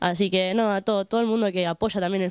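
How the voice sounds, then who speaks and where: Fairly even intonation at a very fast pace from a woman, in dry sound with no echo against a quiet background. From Roldán, Santa Fe, Argentina; Santa Fe, Argentina. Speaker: women's football player. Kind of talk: post-match interview. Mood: grateful, warm. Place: open country. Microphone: handheld.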